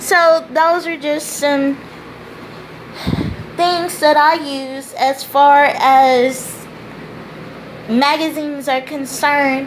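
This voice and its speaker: A woman speaks very slowly in a high voice with fairly even intonation, her words carrying audible room echo over noticeable background noise. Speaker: tutor and teacher. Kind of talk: tutorial. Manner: deliberate.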